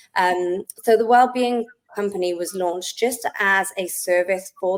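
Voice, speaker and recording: A medium-pitched woman speaks in a Welsh accent. Her pace is fairly slow and her intonation fairly even. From South Wales. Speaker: wellness business owner. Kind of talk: podcast interview.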